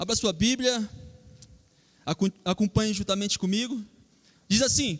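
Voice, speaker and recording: Pausing long and often, a high-pitched man speaks at a moderate pace with ordinary pitch variation in a dry, close recording with no echo. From Rio Grande do Norte, Brazil. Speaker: preacher. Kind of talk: sermon.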